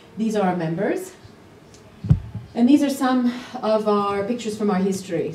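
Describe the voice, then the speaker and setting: Speaking at a moderate pace, a woman uses a medium pitch and ordinary pitch variation, with audible room echo around her. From Canada. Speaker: parenting activist and conference speaker. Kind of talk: conference talk. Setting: stage with audience.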